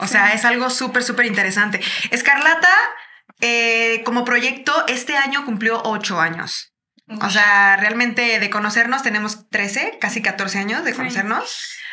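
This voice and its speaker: A woman speaks at a fairly slow pace with ordinary pitch variation, and audible room echo can be heard. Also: fairly high pitch for a woman. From Mexico, Chiapas. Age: 30s. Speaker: singer-songwriter. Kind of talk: casual interview chat.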